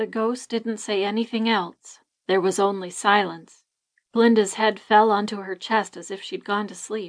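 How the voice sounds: Against a quiet background, a natural reading voice keeps a fairly even intonation.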